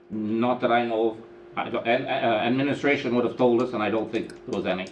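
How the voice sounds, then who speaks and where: A man with a medium pitch speaks at a very fast pace in a monotone, flat delivery, with noticeable background noise and audible room echo. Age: 70s. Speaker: mayor chairing council meeting. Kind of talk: council meeting discussion. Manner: halting, repetitive.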